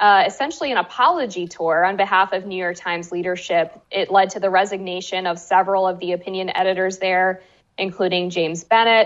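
Speaking in an unremarkable speaking voice with an American accent, a woman keeps a medium pitch, fairly even intonation and a moderate pace. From US. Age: 20s. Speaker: journalist and author. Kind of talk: interview.

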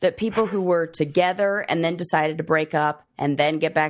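A woman's ordinary speaking voice, fairly low in pitch, at a moderate pace against a quiet background. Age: 30s. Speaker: podcast host. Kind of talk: casual chat.

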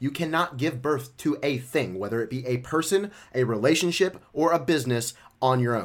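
A man talks at a moderate pace with lively intonation and a medium pitch, in a plain, everyday voice. The recording is very clean, with a silent background. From Memphis, Tennessee (US South). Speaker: life and relationship coach. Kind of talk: casual interview.

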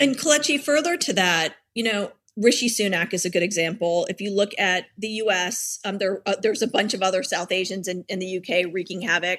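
With a plain, everyday voice, a woman speaks at a fairly quick pace, using a medium pitch and ordinary pitch variation. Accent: American. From Richmond, Virginia, US. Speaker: anti-racism activist. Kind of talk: interview.

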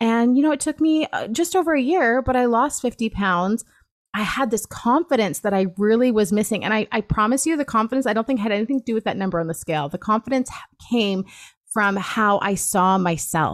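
On a very clean recording with a silent background, a woman in an unremarkable speaking voice talks fairly quickly with a fairly high pitch. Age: 30s. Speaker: weight-loss coach. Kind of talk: casual chat.

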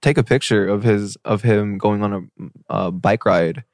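In a West Coast accent, a man talks at a fairly slow pace with a fairly low pitch, and the sound is dry and close with no echo. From Seattle, Washington. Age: 20s. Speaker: singer. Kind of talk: casual chat.

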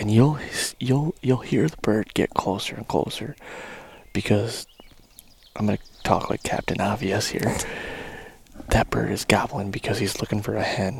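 Whispering at a moderate pace, with long, frequent pauses. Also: man. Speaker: turkey hunter podcast host. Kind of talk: live hunting narration. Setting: outdoors.

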